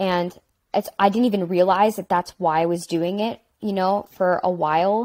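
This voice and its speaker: The speech runs at a fairly slow pace in monotone, flat intonation. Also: woman. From Pittsburgh, Pennsylvania. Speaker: singer-songwriter and actor; panelist. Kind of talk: live panel discussion. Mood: reflective, candid. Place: home room.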